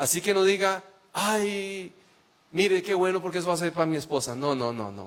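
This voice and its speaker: Against noticeable background noise, a man with a Costa Rican accent speaks in a high pitch with ordinary pitch variation. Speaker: preacher and psychologist. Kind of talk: sermon.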